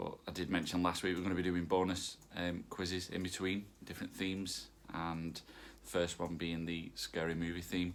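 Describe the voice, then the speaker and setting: A man with a northern English accent, very deep and low in pitch, at a fairly quick pace. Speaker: quiz host. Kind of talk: hosting an online quiz. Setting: home recording with pet nearby. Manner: casual, many fillers.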